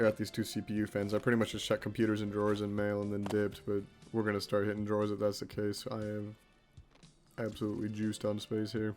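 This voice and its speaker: Music plays behind a man who talks very fast in a fairly low voice. His intonation stays flat and monotone. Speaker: gaming video creator. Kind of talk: gameplay commentary. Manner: casual.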